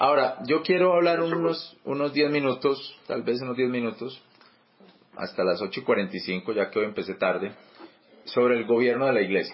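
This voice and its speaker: Moderate pace and lively intonation. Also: man, medium pitch for a man. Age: 40s. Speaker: church teacher. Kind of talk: bible study teaching. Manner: halting, many repetitions and fillers.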